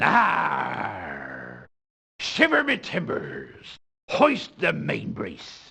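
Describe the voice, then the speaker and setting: Using a put-on character voice, a man talks in a raspy way at a very slow pace. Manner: playful, overdone.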